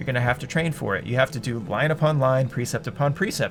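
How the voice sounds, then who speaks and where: Music plays behind a man who talks very fast. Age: 30s. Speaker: gaming YouTuber. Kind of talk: casual commentary monologue. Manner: stumbles over words.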